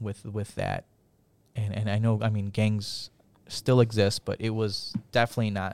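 A man with an American accent, fairly low pitch and vocal fry, moderate pace and little pitch movement, on a very clean recording with a silent background

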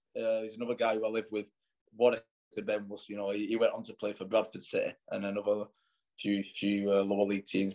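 Speaking at a very fast pace, a man with a fairly low voice and a dark, mellow tone shows big swings in loudness. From Wigan, northern England. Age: 30s. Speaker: former youth footballer. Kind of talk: interview.

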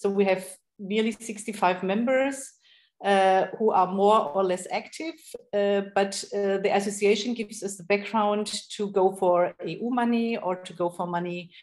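This woman has an unremarkable speaking voice, medium in pitch, with fairly even intonation. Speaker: project space runner and architect. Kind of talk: interview.

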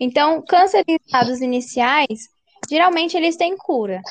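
The dry, close sound carries no echo as a woman speaks at a fairly slow pace with ordinary pitch variation. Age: 20s. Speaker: science teacher. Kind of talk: interview.

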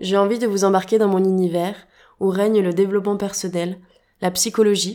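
This woman's voice sits at a medium pitch and has a dark, mellow tone. She talks at a fairly quick pace with monotone, flat intonation. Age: 20s. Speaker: podcast host. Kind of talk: podcast monologue.

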